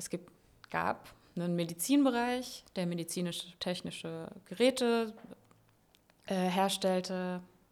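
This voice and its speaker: The speech moves at a very slow pace with long, frequent pauses, big swings in loudness and ordinary pitch variation. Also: woman, medium pitch for a woman. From Palatinate, Germany. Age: 30s. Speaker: engineer and works council member. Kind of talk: interview. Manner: hesitant, many fillers.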